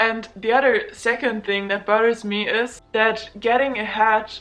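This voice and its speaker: A woman speaks in a German accent with monotone, flat intonation. Noticeable background noise runs behind her. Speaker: student vlogger. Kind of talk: casual vlog monologue.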